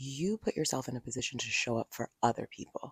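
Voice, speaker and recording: Quiet and very deep in pitch, a woman speaks with lively intonation, the sound dry and close with no echo. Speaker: podcast host. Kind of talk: solo podcast talk. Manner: quiet, low-key. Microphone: handheld mic held close to mouth.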